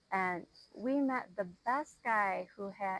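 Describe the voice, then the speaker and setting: With an Upper Midwest accent, a woman speaks at medium pitch with lively intonation. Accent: Upper Midwest American. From Minnesota. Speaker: podcast guest. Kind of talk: casual interview.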